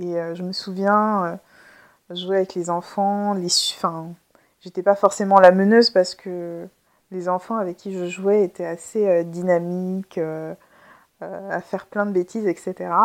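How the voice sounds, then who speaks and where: A woman at a very slow pace and medium pitch, monotone and flat, with long, frequent pauses and big swings in loudness on a very clean recording with a silent background. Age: 30s. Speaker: podcast host and therapist. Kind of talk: casual solo monologue. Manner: spontaneous, hesitant with fillers.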